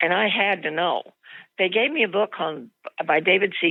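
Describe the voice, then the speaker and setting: A woman with a Midwestern American accent talks at a moderate pace. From Des Moines, Iowa. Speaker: widow, grandmother. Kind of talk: interview answer.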